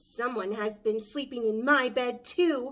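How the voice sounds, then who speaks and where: A woman's put-on character voice, high-pitched and growling, at a fairly slow pace. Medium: read story. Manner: huffy, growly.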